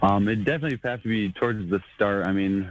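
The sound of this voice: This man talks at a fairly quick pace. He has a low pitch and an American accent.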